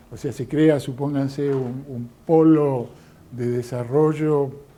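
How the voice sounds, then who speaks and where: In a room with audible echo, a man speaks with a fairly high pitch and a dark, mellow tone. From Argentina. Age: 60s. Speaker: lecturer. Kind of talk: lecture. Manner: hesitant, many fillers.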